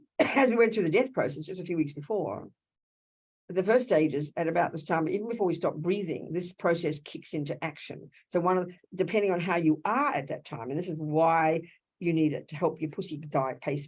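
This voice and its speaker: At a fairly quick pace, a woman with an Australian accent speaks in a fairly low pitch with lively intonation. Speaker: Buddhist nun teacher. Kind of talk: dharma talk. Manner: fast; animated.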